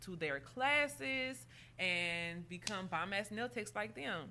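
With an American accent, a woman has a plain, everyday voice, a medium pitch and a fairly slow pace. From Indianapolis, Indiana. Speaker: nail salon owner. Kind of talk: casual interview.

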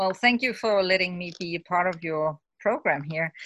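Her tone bright and sharp, a woman speaks with a Danish accent and lively intonation. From Denmark. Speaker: mother living abroad. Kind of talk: interview.

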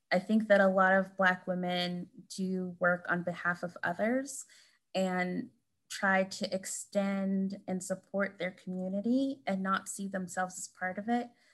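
Her voice somewhat breathy, the woman talks fairly slowly with fairly even intonation. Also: medium pitch for a woman, very clean recording, silent background. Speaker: author, professor. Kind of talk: interview conversation about her book.

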